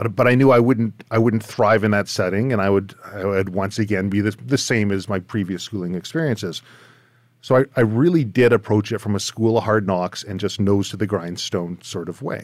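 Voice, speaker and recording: A man with a Canadian accent has an unremarkable speaking voice, ordinary pitch variation and a moderate pace. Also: fairly low pitch for a man. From Surrey, British Columbia, Canada. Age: 40s. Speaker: podcast host, firearms and outdoor trainer. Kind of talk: casual interview chat. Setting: video call.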